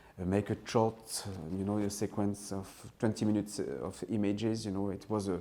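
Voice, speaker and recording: A man with a French accent speaks at a fairly low pitch, his tone dark and mellow. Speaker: film director. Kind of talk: interview. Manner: halting, many fillers and restarts.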